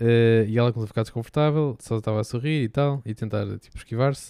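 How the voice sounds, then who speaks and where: With a dark, mellow tone, a man talks at a very fast pace in a dry, close sound with no echo and a very clean recording over a silent background. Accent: European Portuguese. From Portugal. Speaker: podcast co-host. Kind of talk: casual chat.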